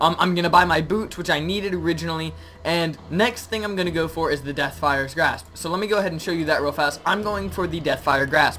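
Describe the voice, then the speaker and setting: Very fast talking amid noticeable background noise. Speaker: gaming youtuber. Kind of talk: gameplay commentary. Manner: stuttering, many filler ums.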